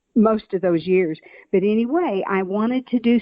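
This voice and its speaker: In a Southern US accent, a woman speaks at a moderate pace with ordinary pitch variation. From Oklahoma, US South. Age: 70s. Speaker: author and nurse. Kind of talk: interview.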